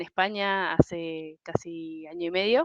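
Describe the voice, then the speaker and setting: The voice sounds dry and close with no echo, set against a quiet background. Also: woman. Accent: Argentine. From Argentina. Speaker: human resources professional. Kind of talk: podcast interview. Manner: hesitant, many fillers.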